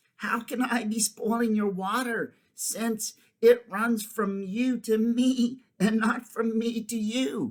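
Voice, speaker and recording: The speaker puts on a character voice with monotone, flat intonation. The delivery is fairly slow with hardly any pauses. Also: man, extremely high pitch for a man. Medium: read story.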